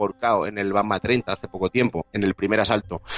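A man speaks with a Madrid accent, his voice dry and close with no echo over noticeable background noise. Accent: Castilian Spanish (Madrid). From Spain, Madrid. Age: 20s. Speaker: sports journalist. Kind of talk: casual chat.

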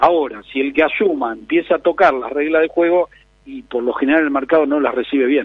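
With a normal speaking voice, a man talks at a fairly quick pace in a fairly high pitch that varies in an ordinary way. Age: 50s. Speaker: real estate advisor. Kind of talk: interview.

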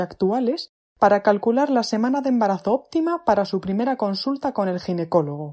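A woman's medium-pitched voice with a dark, mellow tone, ordinary pitch variation and a moderate pace, in dry, close sound with no echo. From León, Spain. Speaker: midwife. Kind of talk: recorded informational message. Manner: formal.

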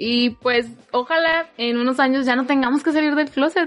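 A woman speaks with a high pitch at a moderate pace. Music plays in the background. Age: 20s. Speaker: engineering student. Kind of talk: casual chat.

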